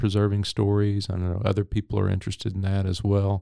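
Talking fairly quickly with a Texan accent, a man has a fairly low pitch and a dark, mellow tone in a dry, close sound with no echo. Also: very clean recording, silent background. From East Texas (Henderson). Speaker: history professor. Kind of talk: interview.

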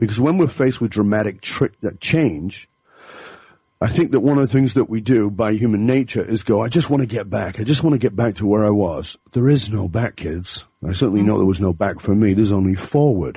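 A man with an English accent speaks at a fairly quick pace in a fairly low, dark, mellow, somewhat breathy voice with lively intonation. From England. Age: 50s. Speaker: leadership speaker and author. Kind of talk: interview.

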